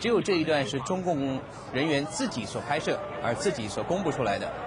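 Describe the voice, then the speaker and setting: A fairly high-pitched man, very fast and serious in tone, with lively intonation over noticeable background noise. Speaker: TV news anchor. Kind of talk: 1989 Taiwanese TV newscast narration. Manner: formal, steady, measured news-anchor delivery; serious, gravely emphatic while describing the crackdown footage.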